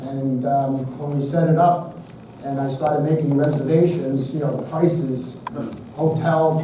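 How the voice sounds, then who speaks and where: A man with a Brooklyn accent talks at a fairly slow pace, with light background noise and audible room echo around him. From Brooklyn, New York; New York. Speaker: physician; presenter. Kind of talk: lecture. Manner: casual, filler-heavy. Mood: humorous, chatty. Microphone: camera far.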